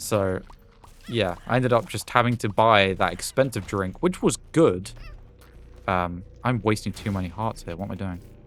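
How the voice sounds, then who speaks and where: With a British accent, a man speaks at a moderate pace and fairly low pitch, using ordinary pitch variation and long, frequent pauses. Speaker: gaming YouTuber. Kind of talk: gameplay commentary with casual storytelling. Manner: casual, hesitant with many fillers.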